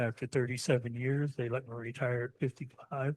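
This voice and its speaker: A somewhat breathy man with monotone, flat intonation at a moderate pace. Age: 70s. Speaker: woodturning demonstrator. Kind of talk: demonstration talk to club audience. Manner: casual, conversational.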